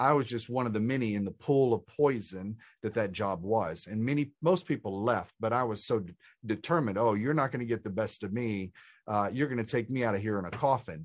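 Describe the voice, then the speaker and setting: A man with an American accent has an unremarkable speaking voice at a medium pitch with ordinary pitch variation. He talks at a fairly quick pace over a quiet background. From Texas. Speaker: spiritual author and coach. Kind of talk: interview conversation.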